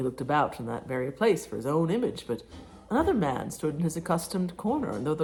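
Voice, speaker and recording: Somewhat breathy, a woman with a fairly low pitch speaks at a fairly quick pace with very wide pitch swings. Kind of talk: audiobook reading. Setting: home, cooking sounds in background.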